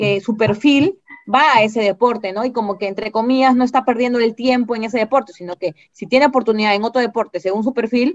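A woman talks at a very fast pace with hardly any pauses, using a fairly high pitch and ordinary pitch variation against a quiet background. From Peru. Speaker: parataekwondo coach. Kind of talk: interview answer. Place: home room. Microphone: video call.

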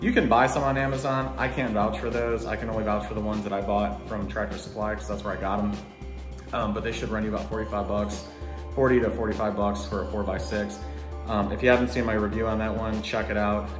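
Over clear music in the background, a man with a fairly low pitch talks at a very fast pace. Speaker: home gym channel host. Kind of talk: casual vlog chat. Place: garage. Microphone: phone near.

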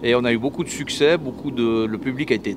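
A man's voice sits over noticeable background noise. The sound is dry, with no echo. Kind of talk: interview answer. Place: garage. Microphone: handheld.

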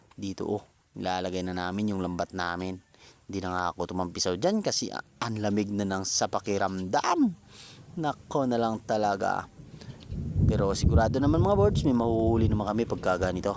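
This is an unremarkable speaking voice with ordinary pitch variation. It moves at a fairly quick pace. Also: man, fairly low pitch for a man. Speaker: vlogger. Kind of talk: vlog narration. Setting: outdoors. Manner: casual.

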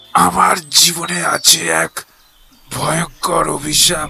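A man slowly delivers lines in a raspy, put-on character voice, keeping a fairly slow pace. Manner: broken, distressed.

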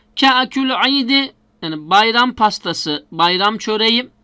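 The man's voice is high-pitched for a man and moves at a very slow pace. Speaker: Arabic language teacher. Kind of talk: lecture.

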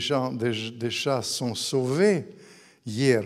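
A man talks in a Russian accent at a very slow pace. The background is quiet. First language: Russian (speaking French). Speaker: author; guest. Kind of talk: public book talk. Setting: stage with audience. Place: hall. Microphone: handheld.

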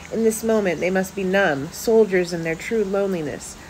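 Over light background noise, a woman speaks with ordinary pitch variation. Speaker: poet and author reading own work. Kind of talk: poetry reading aloud. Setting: home video with poor lighting. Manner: measured, intimate spoken-word delivery with pauses. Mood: somber, reflective. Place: home room. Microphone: phone near.

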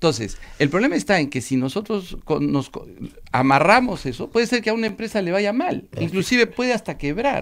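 A man with a high pitch, very wide pitch swings and a fairly quick pace. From Peru, Arequipa. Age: 50s. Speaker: politician and law professor. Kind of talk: radio interview.

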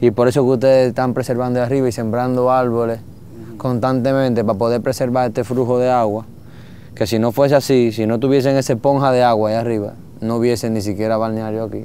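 A man at a very fast pace, monotone and flat, in a dry sound with no echo and light background noise. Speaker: travel show host. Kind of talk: conversational explanation. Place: waterside.

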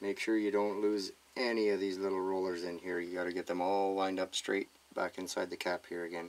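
Light background noise sits under a man's very deep, low voice. His intonation is monotone and flat, at a moderate pace. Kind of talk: tutorial. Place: workshop.

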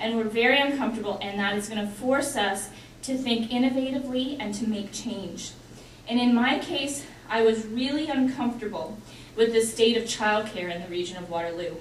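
With a Canadian accent, a woman speaks fairly quickly at a fairly high pitch with ordinary pitch variation, amid audible room echo and light background noise. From Canada. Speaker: engineer and politician; politician. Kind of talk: panel presentation. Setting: stage with audience. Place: hall. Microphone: podium.

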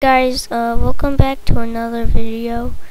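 Audible room echo and noticeable background noise surround this woman. She speaks at a fairly slow pace with monotone, flat intonation. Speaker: gaming YouTuber. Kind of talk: gameplay commentary.

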